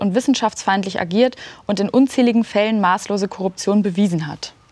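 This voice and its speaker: Speaking at a moderate pace, this plain, everyday voice shows ordinary pitch variation. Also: woman. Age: 20s. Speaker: youth interviewer. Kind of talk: political interview. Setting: studio.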